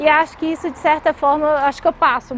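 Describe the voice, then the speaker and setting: A woman with a high pitch at a moderate pace, with music playing in the background. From Brazil, Minas Gerais (Belo Horizonte). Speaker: tech company CEO. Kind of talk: interview. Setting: outdoors by a lake.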